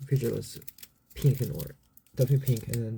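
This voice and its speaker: The man's voice is somewhat breathy and sits at medium pitch. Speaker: YouTube reaction channel host. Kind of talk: casual reaction video intro. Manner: halting, many fillers.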